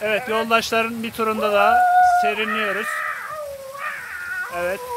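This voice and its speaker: Loud background noise fills the clip. Through it, a man speaks at a moderate pace. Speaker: cyclist vlogger, tour host. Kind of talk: casual talk to camera, vlog narration. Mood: cheerful, upbeat. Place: waterside. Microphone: phone near.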